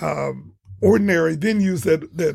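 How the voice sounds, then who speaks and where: A man is speaking with vocal fry. His pitch is fairly high. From Toledo, Ohio, US Midwest. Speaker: choir director and educator. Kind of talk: radio interview.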